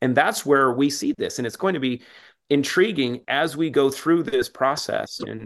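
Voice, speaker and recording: This man has an ordinary speaking voice, fairly high in pitch, with ordinary pitch variation. He speaks at a moderate pace against a quiet background. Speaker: supplement company co-founder. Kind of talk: casual interview chat.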